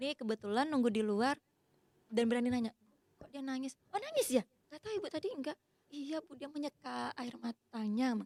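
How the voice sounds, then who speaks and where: A woman with a Sumatran accent, high-pitched and fairly quick, with lively intonation and big swings in loudness. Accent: Sumatran accent, sounds like shouting. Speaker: university lecturer. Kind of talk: casual podcast interview.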